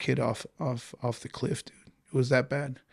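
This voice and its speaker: A man speaks with vocal fry. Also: very clean recording, silent background. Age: 40s. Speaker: goalkeeper coach. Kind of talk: casual interview chat. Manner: animated.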